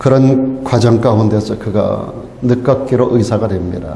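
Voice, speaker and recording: Audible echo from the room, plus noticeable noise in the background. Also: man. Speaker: pastor. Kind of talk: sermon.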